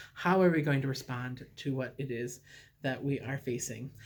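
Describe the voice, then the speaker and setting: A somewhat breathy man's voice with a fairly high pitch, ordinary pitch variation and a moderate pace. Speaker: recovery group leader. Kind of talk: recorded talk to a recovery group. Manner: many fillers (uh, um).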